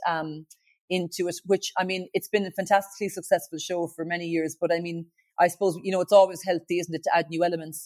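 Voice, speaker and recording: A woman in a Kerry accent at a fairly low pitch, very fast pace and monotone, flat intonation, with a dry, close sound with no echo and a very clean recording, silent background. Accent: Kerry Irish. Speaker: singer-songwriter and TV talent show judge. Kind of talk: interview.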